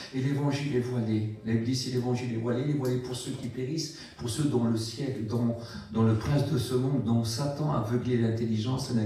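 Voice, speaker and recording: A man's fairly quick, medium-pitched speech amid noticeable background noise and audible room echo. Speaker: preacher. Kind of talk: sermon. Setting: church.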